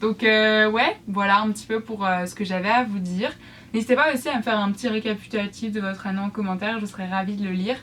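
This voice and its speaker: A woman speaks at a very fast pace. Her voice is fairly high, with fairly even intonation. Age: 20s. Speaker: YouTuber and student crafter. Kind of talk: casual vlog talk to viewers. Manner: hesitant, many fillers.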